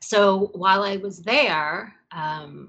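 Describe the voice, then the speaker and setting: A woman with an American accent, medium pitch and ordinary pitch variation, speaking at a very slow pace. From New York. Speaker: scuba diver and aquarium curator. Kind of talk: interview.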